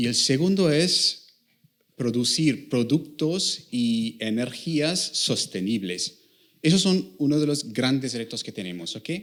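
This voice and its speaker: With lively intonation, a man at a medium pitch speaks at a very slow pace. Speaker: applied mathematician, industry researcher. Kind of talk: talk to students. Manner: halting, many fillers.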